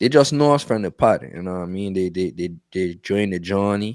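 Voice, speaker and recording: A man's fairly low voice in a strong Virgin Islands accent, at a fairly quick pace, with a dry, close sound and no echo. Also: very clean recording, silent background. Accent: strong Virgin Islands Creole-tinged. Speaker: podcast co-host. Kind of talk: casual chat. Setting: live-streamed podcast. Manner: repetitive, stammering with frequent fillers.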